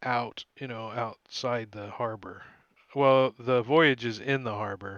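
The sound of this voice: Fairly even intonation in an unforced reading voice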